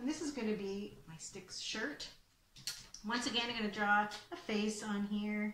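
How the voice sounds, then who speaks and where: This woman's voice carries audible room echo, with light background noise behind it. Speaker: presenter. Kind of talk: tutorial. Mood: cheerful, playful. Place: home room. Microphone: webcam.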